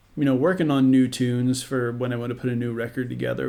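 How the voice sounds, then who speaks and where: A man with a medium-pitched voice speaks in an American accent. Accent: American with occasional Southern twang. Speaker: podcast host and musician. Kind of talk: casual chat.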